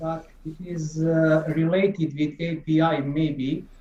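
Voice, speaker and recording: Very slowly, a man speaks in a dark, mellow tone at a fairly high pitch. His intonation is flat and monotone. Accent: non-native. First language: not English. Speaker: software developer. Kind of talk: technical question on a call. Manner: halting.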